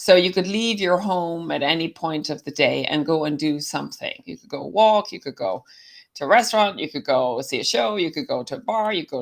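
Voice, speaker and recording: With an American accent, a woman talks at a fairly quick pace with lively intonation and a fairly low pitch, on a very clean recording with a silent background. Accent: Irish with slight American twang. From Ireland, County Clare. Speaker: summit speaker, former bar owner. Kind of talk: casual interview.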